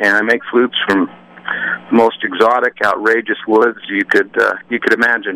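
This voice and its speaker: A man with an American accent speaks at a moderate pace, his loudness very even. The sound is dry and close with no echo, over noticeable background noise. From Utah. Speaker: flute maker. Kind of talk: radio interview.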